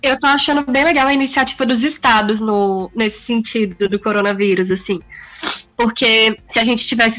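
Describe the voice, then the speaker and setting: A woman with a fairly high pitch talks at a fairly quick pace with ordinary pitch variation. Noticeable background noise can be heard. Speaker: podcast co-host. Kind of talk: casual chat. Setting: video call.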